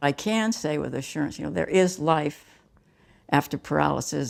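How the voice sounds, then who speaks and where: The recording is very clean, with a silent background. A woman with a very deep, low voice and vocal fry talks at a moderate pace. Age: 70s. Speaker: para table tennis player. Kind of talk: interview.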